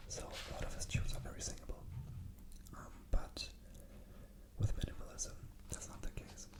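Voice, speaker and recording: A whispering voice with a relaxed tone, big swings in loudness and long, frequent pauses comes through over noticeable background noise. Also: man, moderate pace. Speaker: classical pianist and composer making ASMR videos. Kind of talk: casual talk to camera about classical music. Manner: relaxed, conversational rambling with pauses.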